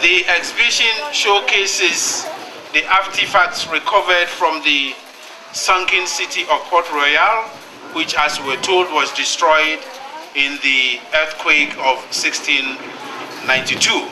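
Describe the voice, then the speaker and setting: The speech moves at a fairly slow pace with very even loudness, set against noticeable background noise. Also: man, high pitch for a man, ordinary pitch variation. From Ghana. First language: Ghanaian language. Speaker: UN agency director. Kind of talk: formal speech. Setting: exhibition launch event with audience.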